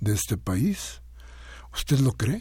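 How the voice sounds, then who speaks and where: A man speaks in a somewhat breathy voice. The tone is dark and mellow. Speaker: radio host. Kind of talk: radio talk show commentary.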